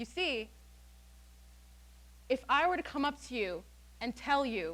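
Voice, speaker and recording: The voice is raised and projected, with an animated tone. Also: woman. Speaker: student speaker. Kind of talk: TED-style talk. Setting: stage with audience. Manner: loud.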